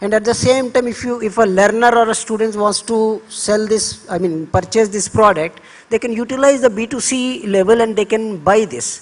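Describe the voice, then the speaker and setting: Moderately paced speech in an Indian accent with hardly any pauses, over noticeable background noise. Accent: Indian English, Telugu. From India, Andhra Pradesh. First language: Telugu. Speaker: government education official. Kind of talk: panel talk. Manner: halting, with repeated fillers.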